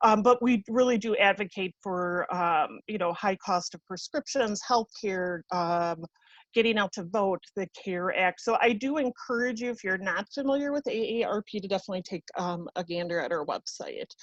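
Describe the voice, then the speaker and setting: A woman's plain, everyday voice, medium in pitch, at a moderate pace with ordinary pitch variation against a quiet background. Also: dry, close sound with no echo. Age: 40s. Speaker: nonprofit outreach presenter. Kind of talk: presentation at a public meeting.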